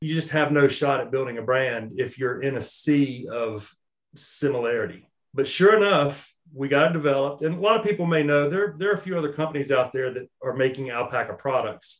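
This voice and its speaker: A man talks in an ordinary speaking voice with an American accent, his pitch fairly high. He moves at a fairly quick pace with ordinary pitch variation. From Charlotte, North Carolina. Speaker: small business owner, outdoor apparel company. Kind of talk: casual interview. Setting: remote recording.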